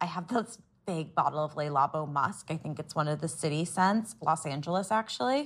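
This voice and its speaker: With an American accent, a woman speaks at a fairly quick pace in a very deep, low, somewhat breathy voice with lively intonation. The recording is very clean, with a silent background. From US Midwest, Columbus, Ohio. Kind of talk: casual chat.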